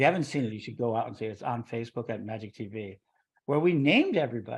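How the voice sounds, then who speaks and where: The delivery is very fast, with ordinary pitch variation and big swings in loudness. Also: man, medium pitch for a man. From US Midwest, Chicago. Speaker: interview show host, religious order leader. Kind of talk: casual interview.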